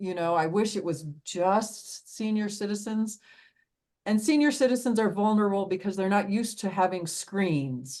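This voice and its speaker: Against a quiet background, a woman talks at a fairly slow pace in an unremarkable speaking voice. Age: 60s. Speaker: fraud specialist. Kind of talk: podcast interview.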